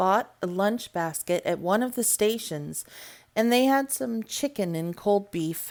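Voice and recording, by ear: The text is read aloud in a natural voice.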